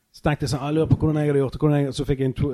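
A man's voice, fairly high in pitch, comes across with a dark, mellow tone. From Norway, Bergen (Fyllingsdalen). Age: 30s. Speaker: podcast host, comedian. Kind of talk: casual chat. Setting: backstage at a venue.

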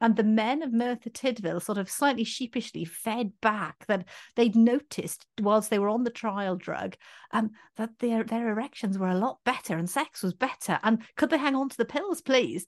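A woman with a Welsh accent speaks at a fairly high pitch with ordinary pitch variation, in a dry, close sound with no echo against a quiet background. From Wales. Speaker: doctor and podcast co-host. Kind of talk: casual chat.

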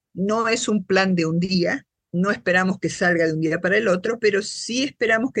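A woman's voice at medium pitch, an ordinary speaking voice with lively intonation and a moderate pace. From Argentina, Buenos Aires. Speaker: social scientist and patient advocate. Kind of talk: interview.

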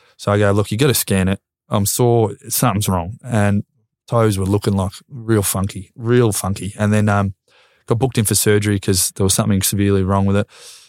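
A man with an Australian accent and a fairly low voice talks at a fairly quick pace in a flat monotone with very even loudness, in a very clean recording with a silent background and a dry, close sound with no echo. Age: 20s. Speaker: retired footballer. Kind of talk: casual chat.

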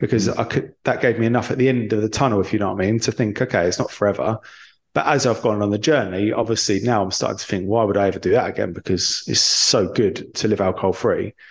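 A man with an English accent, fairly low in pitch, at a very fast pace with fairly even intonation. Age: 30s. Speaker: entrepreneur in recovery from alcohol. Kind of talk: interview.

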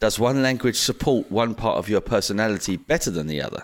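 With an ordinary speaking voice and an American-free medium pitch, a man talks at a fairly quick pace with lively intonation. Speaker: podcast host. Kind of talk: casual chat. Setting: remote call.

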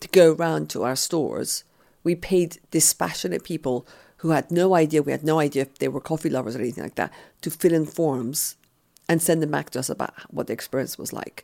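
Speaking at a very fast pace, a woman has a very deep, low pitch with ordinary pitch variation, vocal fry, and a dark, mellow tone. The recording is very clean, with a silent background. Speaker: entrepreneur and author. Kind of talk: interview.

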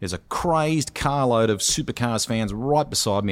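A man's medium-pitched voice with an Australian accent and lively intonation. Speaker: motorsports commentator. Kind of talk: casual chat.

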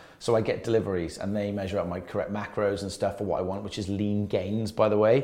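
A man talks at a very fast pace with hardly any pauses, his fairly low voice dark and mellow in tone. His intonation stays monotone and flat, and the room echo is audible. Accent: Welsh. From Wales. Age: 30s. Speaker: personal trainer. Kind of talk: casual chat.

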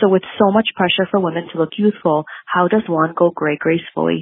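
A woman's ordinary speaking voice, fairly low in pitch, at a fairly quick pace. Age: 30s. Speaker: podcast listener leaving a voicemail. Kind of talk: recorded voicemail.

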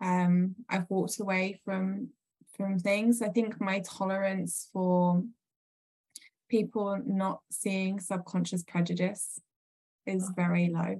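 The voice is dark and mellow in tone, somewhat breathy, and monotone with flat intonation. It moves at a very slow pace. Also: woman, medium pitch for a woman. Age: 40s. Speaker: entrepreneur. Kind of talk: casual chat. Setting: video call. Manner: hesitant, many fillers.

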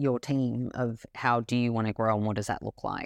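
The speech moves at a moderate pace in an Australian accent, on a very clean recording with a silent background. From Australia, Melbourne. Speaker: brand CEO and co-founder. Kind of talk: interview.

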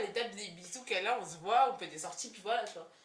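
A woman talks at a very fast pace with lively intonation. Audible room echo and noticeable background noise are present. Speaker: podcast host. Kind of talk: casual chat. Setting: recorded with friends on Friday evening. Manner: animated.

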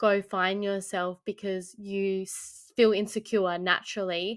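In an Australian accent, a woman with a medium-pitched voice speaks at a fairly slow pace with fairly even intonation on a very clean recording with a silent background. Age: 20s. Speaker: podcast co-host. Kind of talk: casual chat.

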